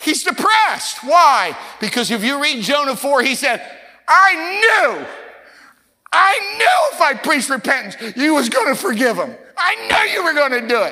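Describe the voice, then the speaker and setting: A raised, projected voice at a moderate pace, with very wide pitch swings. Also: man, extremely high pitch for a man. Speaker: pastor. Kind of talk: sermon and spoken prayer. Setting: church with congregation. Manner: fervent.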